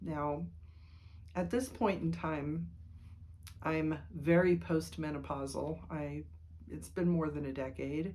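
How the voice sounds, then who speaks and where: A woman speaks at a very slow pace. There is audible room echo. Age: 60s. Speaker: writer and vlogger. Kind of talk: casual monologue vlog. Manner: rambling with fillers.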